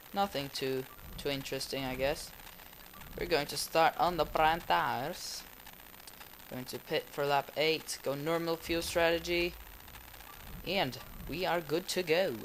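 With fairly high pitch, a man talks at a fairly slow pace with long, frequent pauses, over noticeable background noise. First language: not English. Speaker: gaming YouTuber. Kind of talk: gameplay commentary. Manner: excitable.

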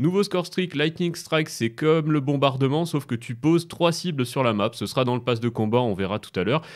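Against a quiet background, a man speaks fairly quickly at a medium pitch with very wide pitch swings. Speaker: gaming YouTuber and streamer; gaming YouTuber, streamer. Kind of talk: gaming commentary video. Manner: fast; hesitant, many fillers.

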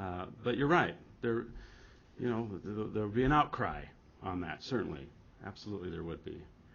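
A man talks at a fairly quick pace and a fairly low pitch. His intonation is lively, with vocal fry. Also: fairly bright tone.

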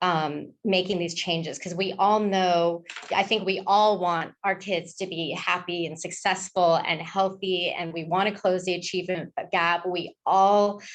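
A woman talks at a fairly slow pace and medium pitch in monotone, flat intonation with hardly any pauses. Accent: American. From Malibu, California. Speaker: school board candidate. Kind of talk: debate answer.

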